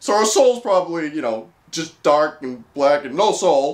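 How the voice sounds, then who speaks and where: High-pitched man with lively intonation at a moderate pace, quiet background. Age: 20s. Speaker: comedy YouTuber. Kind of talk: comedic commentary reading dating profiles. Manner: animated. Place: home room.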